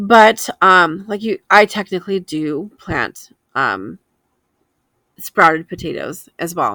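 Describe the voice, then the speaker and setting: A woman with vocal fry and a fairly low pitch speaks at a fairly slow pace in a dry, close sound with no echo. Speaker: homesteading and frugal living vlogger. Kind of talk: casual shopping vlog chat. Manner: sounds precise, a little hoity-toity; hesitant fillers.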